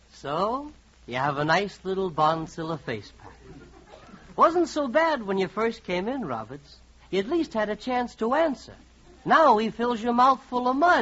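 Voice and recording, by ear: Putting on a character voice, a man speaks high in pitch with big pitch swings, a fairly bright tone, and a fairly slow pace.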